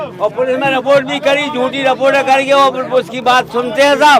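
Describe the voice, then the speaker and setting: Over crowd noise in the background, a man talks at an extremely high pitch with fairly even intonation. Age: 70s. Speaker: villager at a public forum. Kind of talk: vox pop interview.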